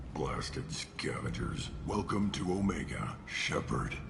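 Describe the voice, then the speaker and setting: A man speaks in a put-on character voice, very deep and low in pitch. He talks at a fairly slow pace over loud background noise. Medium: video game. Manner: curt, cold, clipped.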